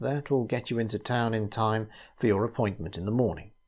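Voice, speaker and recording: A somewhat breathy man at a moderate pace on a very clean recording with a silent background. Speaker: narrator. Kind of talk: sleep story.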